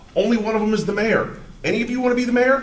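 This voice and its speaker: Loud and fairly quick, a man with an American accent speaks at a high pitch with lively intonation, with audible room echo and noticeable background noise. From Ohio, Cleveland area (Shaker Heights). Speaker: resident speaking at town hall, contractor. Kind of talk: public comment at town hall. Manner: animated.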